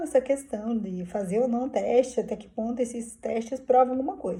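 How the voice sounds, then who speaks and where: Ordinary pitch variation marks a woman's fairly high voice, delivered at a moderate pace. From southern Brazil, Curitiba. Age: 50s. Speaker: vlogger. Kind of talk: personal vlog, casual monologue. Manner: informal, hesitant with fillers.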